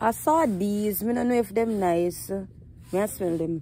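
A woman's tone is dark and mellow. The sound is dry with no echo, over light background noise. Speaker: vlogger. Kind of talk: casual vlog chat. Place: shop. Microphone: phone near.

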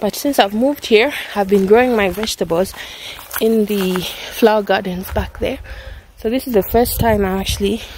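Over light background noise, a woman talks at a moderate pace with ordinary pitch variation and long, frequent pauses, the sound dry with no echo. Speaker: mother vlogger. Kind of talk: casual vlog chat. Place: garden. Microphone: phone near.

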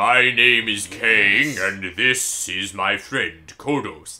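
A man speaks very slowly in a put-on character voice at a medium pitch.

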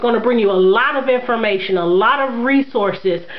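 A woman with a fairly high pitch speaks at a moderate pace with lively intonation over faint background noise.

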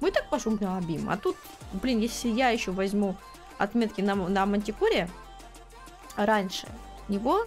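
A woman at a fairly slow pace, with very even loudness, ordinary pitch variation, long, frequent pauses and faint music in the background. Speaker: streamer. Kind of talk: casual game stream talk. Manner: emotional, loud, prone to shouting and laughing. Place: home room.

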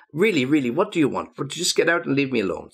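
A gruff, put-on character voice from a man, fairly high in pitch, at a very fast pace with lively intonation. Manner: short, irritable.

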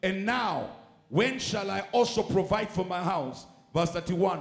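Faint music in the background and audible room echo accompany a man with high pitch and ordinary pitch variation. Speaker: preacher. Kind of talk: sermon. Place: church. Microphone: handheld.

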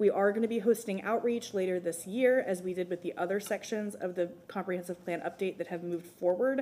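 A woman with a dark, mellow tone talks at a fairly quick pace with ordinary pitch variation. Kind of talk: formal presentation to council. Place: hall. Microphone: podium.

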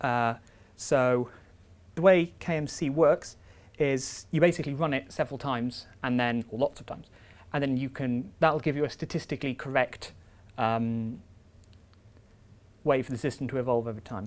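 A man speaks at a moderate pace with fairly even intonation. He takes long, frequent pauses. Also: medium pitch for a man.

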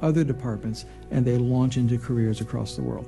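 Clear music plays behind a man talking at a fairly quick pace. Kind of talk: interview answer. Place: studio.

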